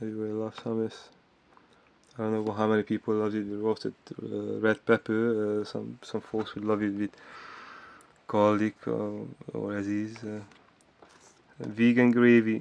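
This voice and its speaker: At a moderate pace, the speaker delivers flat, monotone speech broken by long, frequent pauses. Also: man, fairly low pitch for a man. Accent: Hungarian. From Hungary. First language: Hungarian. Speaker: vlogger. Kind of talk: casual monologue vlog. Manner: halting, with many fillers.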